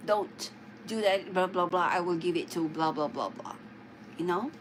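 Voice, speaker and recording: Talking at a moderate pace with ordinary pitch variation, a woman speaks in a Filipino accent. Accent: Filipino-accented English (immigrant English). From Philippines. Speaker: live streamer. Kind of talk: casual livestream chat. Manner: halting, many fillers.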